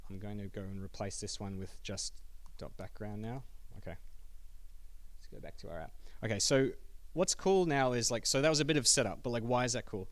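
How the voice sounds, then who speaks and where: A man with an Australian accent talks at a fairly quick pace, taking long, frequent pauses, his medium pitch carrying lively intonation while his loudness swings widely and the room echoes audibly. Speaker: software developer giving a meetup talk. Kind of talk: technical talk with live coding demo. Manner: fast.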